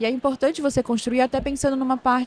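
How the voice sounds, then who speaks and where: A woman with a Pará accent. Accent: Paraense accent, hissing s (chiado). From northern Brazil, Belém do Pará. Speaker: operations manager at a tech company. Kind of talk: podcast interview. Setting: recorded at a tech conference.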